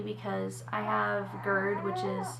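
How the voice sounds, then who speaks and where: A woman's lively intonation amid noticeable background noise and audible room echo. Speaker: vlogger, mother. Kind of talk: personal vlog.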